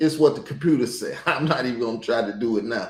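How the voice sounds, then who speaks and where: There is audible room echo around this man's voice. He talks at a moderate pace with ordinary pitch variation. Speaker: YouTube commentator. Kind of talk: casual commentary.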